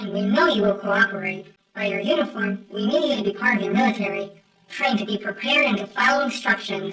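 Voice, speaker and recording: At a very fast pace, a female-sounding voice puts on a character voice at a medium pitch. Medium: fan dub. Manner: formal, stiff, lofty.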